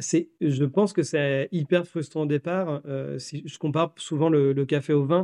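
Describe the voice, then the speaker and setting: Fairly high, dark and mellow male voice at a fairly slow pace with hardly any pauses and fairly even intonation, in a dry, close sound with no echo. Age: 40s. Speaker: coffee roaster and business owner. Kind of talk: interview.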